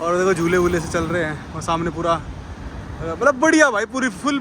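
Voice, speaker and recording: A man talks at a moderate pace with lively intonation, and there is noticeable background noise. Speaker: travel vlogger. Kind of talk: casual vlog narration. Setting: outdoors. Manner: animated.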